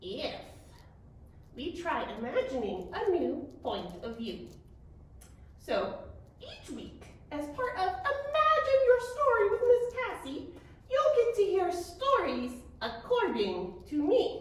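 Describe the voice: Using a put-on character voice, a woman talks at an extremely high pitch with very wide pitch swings, moving at a fairly slow pace with long, frequent pauses and a clear echo.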